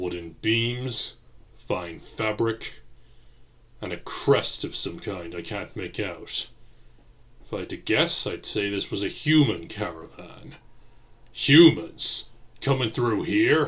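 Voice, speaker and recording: In a put-on character voice, a man speaks at a fairly low pitch and a fairly slow pace, leaving long, frequent pauses. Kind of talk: audio drama with several character voices.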